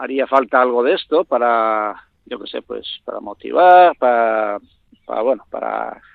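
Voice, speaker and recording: Here a man is talking. He speaks very slowly. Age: 50s. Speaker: dairy farmer. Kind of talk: interview.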